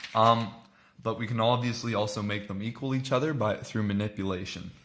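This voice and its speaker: Bright and sharp in tone, a man's fairly low voice holds a fairly even intonation. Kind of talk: math tutorial explanation. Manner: hesitant, many filler words.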